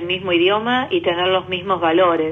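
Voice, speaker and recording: It is an ordinary speaking voice at a moderate pace. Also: woman. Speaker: government official. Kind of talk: interview.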